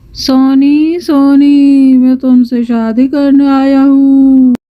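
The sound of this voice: A female-sounding cartoonish character voice, high in pitch, moves at a very slow pace. Its intonation is monotone and flat.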